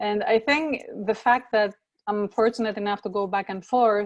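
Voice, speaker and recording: In a Greek accent, a woman talks at a moderate pace and medium pitch. Her pitch varies in an ordinary way, over a quiet background. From Greece, Athens. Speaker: professor. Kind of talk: interview.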